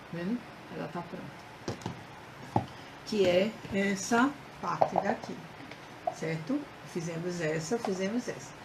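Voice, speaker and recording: A woman at a medium pitch speaks at a very slow pace with ordinary pitch variation and long, frequent pauses over noticeable background noise. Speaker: craft instructor. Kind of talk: live craft tutorial. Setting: Facebook live stream.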